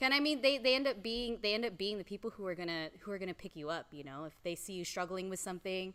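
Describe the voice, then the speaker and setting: Loud and at a very fast pace with hardly any pauses, a woman speaks in a bright, sharp tone with lively intonation. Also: medium pitch for a woman. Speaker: strength coach and powerlifter. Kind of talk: casual chat.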